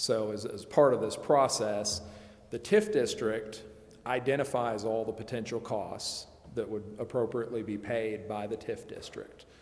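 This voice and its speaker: With audible room echo, a man at medium pitch speaks at a moderate pace in a monotone, flat intonation. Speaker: municipal finance consultant. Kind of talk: public meeting presentation. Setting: council chambers. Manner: loud.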